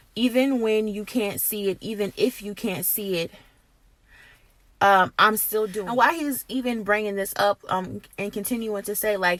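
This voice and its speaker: An unremarkable speaking voice with fairly even intonation comes at a moderate pace on a very clean recording with a silent background. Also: woman. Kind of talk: prophetic encouragement, casual talk to camera. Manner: earnest, conversational.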